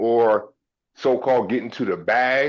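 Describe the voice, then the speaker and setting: Against a quiet background, a man talks in a Baltimore accent. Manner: critical, forceful.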